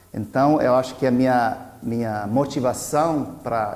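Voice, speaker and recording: An American-accented man speaks at a medium pitch in a dark, mellow tone with fairly even intonation. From US South, Virginia. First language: English (speaking Portuguese). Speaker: anthropologist. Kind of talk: personal talk to camera. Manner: halting, many restarts and fillers.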